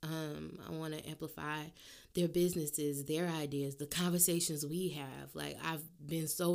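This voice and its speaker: Speaking with a New Orleans accent, a woman has a very deep, low pitch. Her intonation stays monotone and flat. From US South, New Orleans. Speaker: podcast host. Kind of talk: casual solo monologue.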